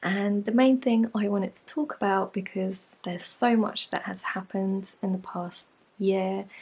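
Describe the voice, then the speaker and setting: Soft-spoken and somewhat breathy, a woman talks at a medium pitch and a moderate pace with fairly even intonation. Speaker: yoga teacher and life coach. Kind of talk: casual vlog talk. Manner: soft-spoken, speaking quietly.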